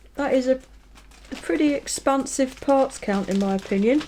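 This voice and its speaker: A woman with a British accent speaks in a relaxed tone at a moderate pace. Her high voice has lively intonation over noticeable background noise. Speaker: scale model reviewer. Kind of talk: product review tutorial. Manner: relaxed, casual with fillers.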